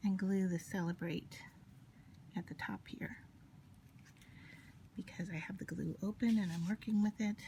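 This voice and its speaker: Quiet and somewhat breathy, a woman speaks in a whisper. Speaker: paper crafter. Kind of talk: tutorial. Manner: gets quieter, near whisper while concentrating; casual, hesitant with fillers.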